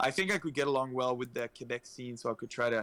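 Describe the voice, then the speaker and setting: Speaking at a fairly quick pace with fairly even intonation, a man with an Acadian accent has a medium pitch and a bright, sharp tone. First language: French. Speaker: esports community organizer. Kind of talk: casual chat.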